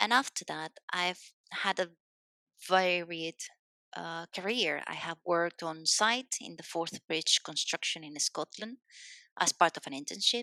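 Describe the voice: A woman speaks at a fairly slow pace with fairly low pitch and ordinary pitch variation. Her tone is bright and sharp, and the sound is dry and close with no echo.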